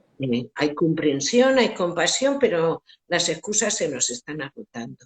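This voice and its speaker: A woman speaks at a fairly slow pace with a fairly low pitch and very wide pitch swings. The sound is dry and close, with no echo. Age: 60s. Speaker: education expert. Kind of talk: interview. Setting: Instagram live video call.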